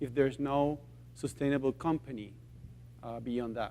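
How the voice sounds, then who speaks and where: A man speaks with a Spanish accent. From Chile. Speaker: social enterprise founder. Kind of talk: conference talk. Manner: halting.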